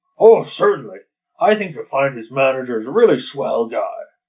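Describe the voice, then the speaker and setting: A man puts on a character voice, fairly high-pitched, with big jumps in loudness at a moderate pace. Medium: read story. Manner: folksy, hesitant, stammering.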